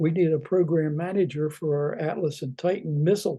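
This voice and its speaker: A man with an American accent and a fairly high pitch speaks at a moderate pace, his dark, mellow tone somewhat breathy and his pitch varying in an ordinary way. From southeastern Pennsylvania. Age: 90s. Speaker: retired defense engineer. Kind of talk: oral history talk. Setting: webinar. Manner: halting, many fillers.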